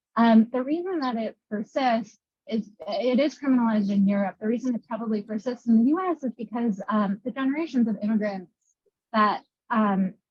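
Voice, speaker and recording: Somewhat breathy speech comes at a fairly quick pace with ordinary pitch variation, captured in a dry, close sound with no echo. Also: woman, fairly high pitch for a woman. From Moldova. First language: Russian. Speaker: panelist. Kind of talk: panel discussion. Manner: halting.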